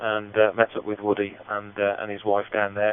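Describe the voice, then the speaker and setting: With a Midlands accent, a man speaks at a fairly low pitch and a fairly quick pace. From Central United Kingdom. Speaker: amateur radio operator. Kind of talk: radio net check-in. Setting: digital radio link.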